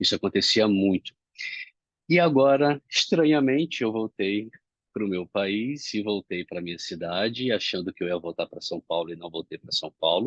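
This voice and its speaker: A man with a fairly low voice speaks at a moderate pace, and the sound is dry and close with no echo. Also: lively intonation. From Brazil, Rio de Janeiro. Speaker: self-development speaker. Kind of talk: reflective monologue. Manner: not loud, calm.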